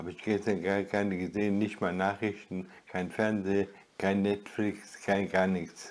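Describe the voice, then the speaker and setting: A man talks at a fairly slow pace. His fairly low voice stays monotone and flat. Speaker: retired video blogger; vlogger. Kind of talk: solo vlog monologue; casual vlog chat. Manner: halting. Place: home room.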